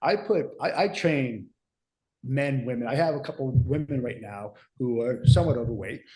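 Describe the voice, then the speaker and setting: A man talks in a dark, mellow tone that is somewhat breathy, his pitch varying in an ordinary way. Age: 60s. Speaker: fitness coach and podcast host. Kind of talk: casual podcast discussion.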